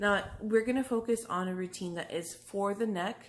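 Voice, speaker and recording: A normal speaking voice with an American accent shows ordinary pitch variation. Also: woman. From Texas, Brownsville. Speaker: massage therapist. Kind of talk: tutorial. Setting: pre-recorded video. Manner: casual.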